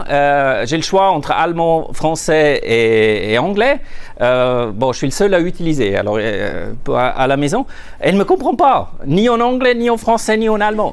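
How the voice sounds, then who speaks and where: A man with a Swiss German accent speaks at a moderate pace with very wide pitch swings and very even loudness, amid noticeable background noise and audible room echo. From Switzerland, Zurich. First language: Swiss German (speaking French). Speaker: management consultant. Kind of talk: conference talk. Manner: halting, many repetitions and fillers.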